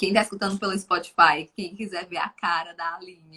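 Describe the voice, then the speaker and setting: A woman speaks at a moderate pace with a medium pitch. Her tone is bright and sharp, and her intonation stays fairly even. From Brazil, Fortaleza, Ceará. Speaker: live show host. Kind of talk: live stream talk.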